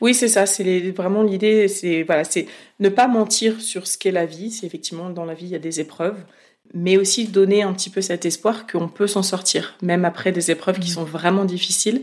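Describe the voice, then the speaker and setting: A woman with an ordinary speaking voice speaks at medium pitch and a moderate pace, her intonation fairly even, in a very clean recording with a silent background. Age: 30s. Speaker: independent podcaster. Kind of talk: interview. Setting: home office.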